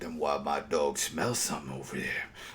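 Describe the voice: A man's put-on character voice, very deep and low, at a moderate pace with clear background noise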